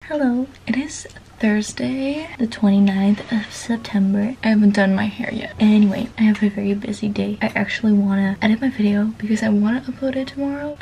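The speech moves at a fairly quick pace with hardly any pauses. Light background noise sits under ordinary pitch variation. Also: woman. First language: not English. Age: young. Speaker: vlogger. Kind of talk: casual vlog talk to camera. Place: home room. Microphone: phone near.

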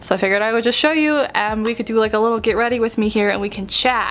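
A woman talks at a fairly quick pace in a fairly high pitch with ordinary pitch variation. Light background noise is present. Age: 20s. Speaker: YouTuber and author; YouTuber. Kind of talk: casual vlog chat. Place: home room. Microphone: phone near.

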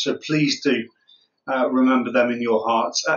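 Against a quiet background, a man talks at a moderate pace with ordinary pitch variation. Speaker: church minister. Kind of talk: church notices to the congregation. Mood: gentle, somber then upbeat. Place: home room. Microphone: phone near.

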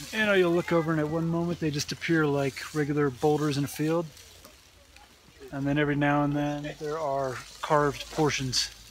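A man at a moderate pace, monotone and flat, in a dry sound with no echo and light background noise. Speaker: travel vlogger. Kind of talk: casual vlog chat. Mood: curious, wondering. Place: open country. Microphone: phone near.

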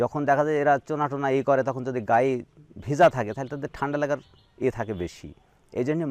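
Here a man talks at a medium pitch in an ordinary speaking voice. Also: dry, close sound with no echo. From Bangladesh, Meherpur district. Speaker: sheep farmer. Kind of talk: interview. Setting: at his farm.

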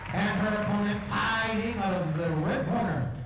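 Light background noise accompanies a man whose voice has strong room echo. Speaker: ring announcer. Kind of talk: formal fight announcement. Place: hall.

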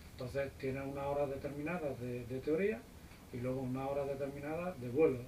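Against noticeable background noise, a man with a fairly high pitch speaks with fairly even intonation. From Spain. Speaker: private pilot; guest. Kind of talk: casual interview. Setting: visiting US flight school. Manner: hesitant, many fillers. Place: office. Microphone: camera far.

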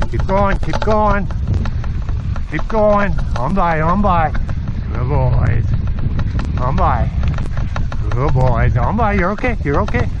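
The speech moves at a very slow pace with long, frequent pauses. Noticeable background noise sits under a dry sound with no echo. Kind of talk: commands to dogs. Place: open country. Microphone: helmet.

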